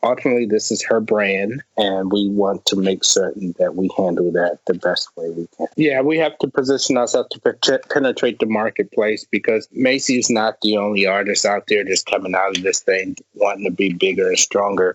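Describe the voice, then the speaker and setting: An ordinary speaking voice with an American accent, at a fairly quick pace with hardly any pauses. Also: man. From Washington DC. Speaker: music manager. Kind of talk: interview.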